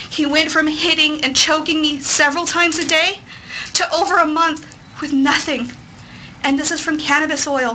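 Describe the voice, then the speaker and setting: In an American accent, a woman with a high pitch projects a raised voice in a flat monotone, with audible room echo and noticeable background noise. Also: moderate pace. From Texas. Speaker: parent advocate. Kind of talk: testimony. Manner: formal.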